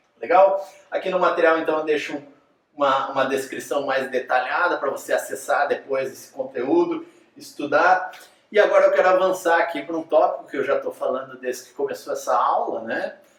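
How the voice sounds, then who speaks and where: There is audible room echo as a man speaks at a moderate pace, his loudness swinging widely. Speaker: teacher. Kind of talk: lecture.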